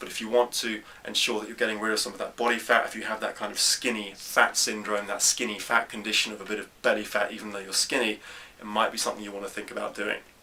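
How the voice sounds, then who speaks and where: Amid noticeable background noise, a man with a fairly low pitch talks very fast in a flat monotone. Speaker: fitness coach answering viewer questions. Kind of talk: Q&A tutorial.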